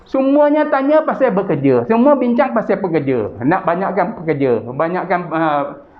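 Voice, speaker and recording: Over noticeable background noise, a man speaks at a moderate pace and a high pitch with very wide pitch swings, very even loudness and hardly any pauses. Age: 60s. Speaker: chairman of a Malay business association. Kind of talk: interview. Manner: hesitant with fillers.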